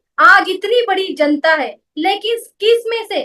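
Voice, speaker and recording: With a Marathi accent, a woman projects a raised voice at an extremely high pitch, her tone bright and sharp and her intonation lively. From Maharashtra, India (Mumbai). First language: Marathi (speaking Hindi). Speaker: network marketing business woman. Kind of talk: motivational talk.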